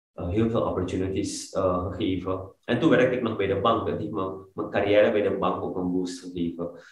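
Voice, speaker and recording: Against a quiet background with audible room echo, a man speaks in a very deep, low pitch that is somewhat breathy. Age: 30s. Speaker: fitness coach, former banker. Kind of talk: interview. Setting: studio, sitting on the floor. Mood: earnest, reflective. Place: home room. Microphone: video call.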